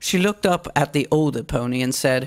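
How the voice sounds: Woman's extremely low-pitched voice at a moderate pace, ordinary pitch variation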